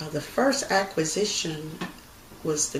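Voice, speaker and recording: A woman with an American accent speaks in a very deep, low pitch at a moderate pace over noticeable background noise. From Texas, United States. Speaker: credit union president and CEO. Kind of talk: interview answer, oral history.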